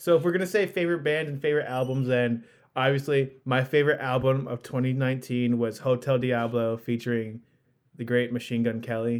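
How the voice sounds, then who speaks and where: A man speaks in a plain, everyday voice at a fairly quick pace, with medium pitch and ordinary pitch variation. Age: 20s. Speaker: podcast host. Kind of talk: casual chat. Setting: remote call.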